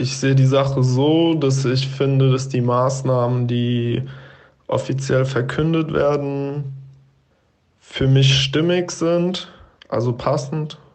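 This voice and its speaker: Very slow speech with fairly even intonation, long, frequent pauses and audible room echo. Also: man. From Frankfurt am Main area, Germany. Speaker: student and health coach. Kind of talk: voice message monologue. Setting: WhatsApp voice message.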